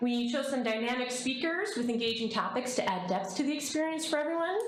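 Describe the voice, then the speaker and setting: Heard through noticeable background noise and audible room echo, a woman speaks with ordinary pitch variation. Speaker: chamber of commerce director. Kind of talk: presentation to city council. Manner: fast.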